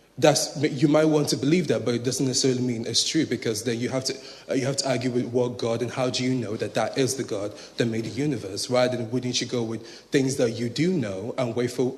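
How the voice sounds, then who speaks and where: A man with an American accent and a medium pitch speaks at a fairly quick pace with fairly even intonation, heard with audible room echo and noticeable background noise. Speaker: audience member. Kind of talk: audience question. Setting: lecture hall with audience. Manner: halting.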